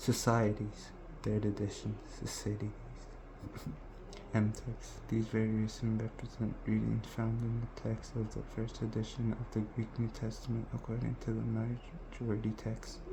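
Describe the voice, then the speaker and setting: A soft-spoken man talks here. He moves at a fairly slow pace. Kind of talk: scripture reading.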